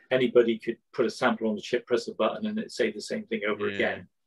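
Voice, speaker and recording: A man speaks against a quiet background. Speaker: guest lecturer. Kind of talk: lecture. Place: home room. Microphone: video call.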